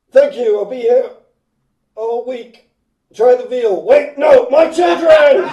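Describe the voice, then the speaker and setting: Using a put-on character voice at an extremely high pitch, a man speaks at a fairly slow pace with long, frequent pauses and a slight echo. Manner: comedic, stand-up delivery.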